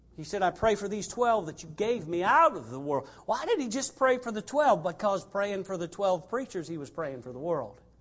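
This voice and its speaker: A man talks with a high pitch and very wide pitch swings, hardly pausing at all. His loudness rises and falls sharply over noticeable background noise. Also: moderate pace. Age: 60s. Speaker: missionary preacher. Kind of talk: sermon. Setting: church.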